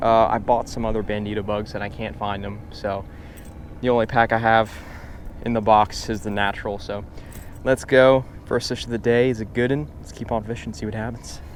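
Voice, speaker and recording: There is noticeable background noise behind this man. He speaks at a medium pitch with ordinary pitch variation. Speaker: fishing YouTuber. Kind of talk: casual outdoor vlog. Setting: outdoors on a boat.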